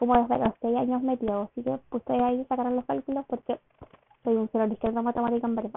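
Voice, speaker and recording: In a Chilean accent, a woman talks at a very fast pace in a high pitch with a monotone, flat intonation. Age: 20s. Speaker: podcaster and university student. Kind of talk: casual solo monologue.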